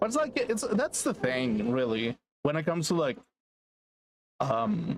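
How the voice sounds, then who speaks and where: A man with a fairly high pitch and very even loudness speaks at a fairly slow pace with very wide pitch swings and long, frequent pauses. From England. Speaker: vtuber game streamer. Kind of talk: casual gaming livestream chat. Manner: stuttering, halting.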